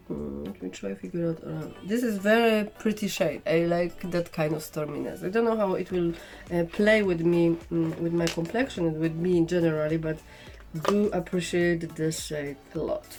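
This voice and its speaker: With music in the background, a woman with a strong non-native accent talks at a moderate pace, at a fairly low pitch with ordinary pitch variation. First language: not English. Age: 40s. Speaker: makeup vlogger. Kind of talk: casual makeup tutorial chat. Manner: halting, many fillers.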